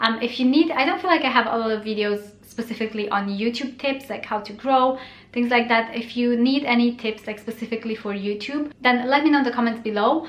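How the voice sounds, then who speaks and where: Speaking in a Romanian accent, a woman talks at a fairly quick pace with hardly any pauses, her high pitch showing ordinary variation. Noticeable background noise runs underneath. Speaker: blogger and YouTuber. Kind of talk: casual vlog tutorial. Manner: casual with frequent 'um' fillers.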